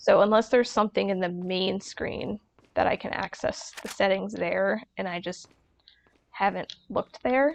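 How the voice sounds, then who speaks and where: At a moderate pace, the voice is soft-spoken, with a dry, close sound and no echo. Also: woman. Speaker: gaming streamer. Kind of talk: let's play commentary. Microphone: mic volume low, quiet.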